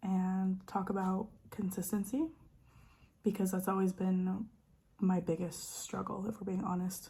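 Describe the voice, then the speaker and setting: A woman with a dark, mellow, somewhat breathy tone speaks at a medium pitch and a moderate pace, her intonation monotone and flat. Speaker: lifestyle vlogger. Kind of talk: casual chat. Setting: at home in dining room. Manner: stutters at times.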